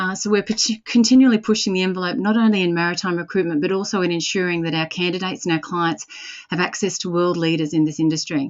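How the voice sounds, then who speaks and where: A woman with an Australian accent talks at a very fast pace, her fairly low voice showing ordinary pitch variation. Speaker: recruitment company director and webinar host. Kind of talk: webinar introduction. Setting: webinar.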